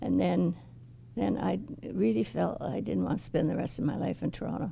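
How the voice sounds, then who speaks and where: At a moderate pace, a woman with a very deep, low pitch, a dark, mellow tone and vocal fry makes very wide pitch swings. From Ottawa, Canada. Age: 80s+. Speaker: oral history interviewee. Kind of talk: oral history interview. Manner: halting, with frequent restarts.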